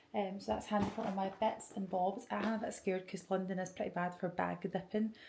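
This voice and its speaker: Whispering woman with a Scottish accent at a moderate pace. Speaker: podcaster and vlogger. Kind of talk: casual vlog monologue. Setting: at home early morning, then airport.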